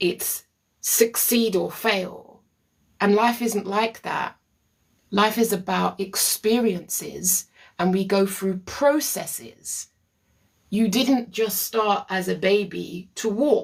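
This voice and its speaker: The speaker talks at a very slow pace. They have a Caribbean accent. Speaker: therapist. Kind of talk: live stream talk answering viewer comments. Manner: animated.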